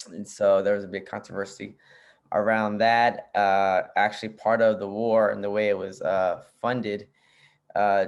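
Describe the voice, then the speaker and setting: Speaking in a Spanish accent at a moderate pace, a man keeps a monotone, flat intonation at a fairly low pitch against a quiet background. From US, Arlington, Virginia, Nicaraguan family. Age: 30s. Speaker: PhD candidate and social justice show host. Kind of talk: casual interview chat. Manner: casual, many fillers.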